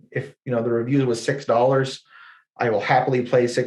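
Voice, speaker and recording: The speaker talks at a fairly quick pace in a Canadian accent. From Ontario, Canada. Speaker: ecommerce agency presenter. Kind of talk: webinar presentation. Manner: fast.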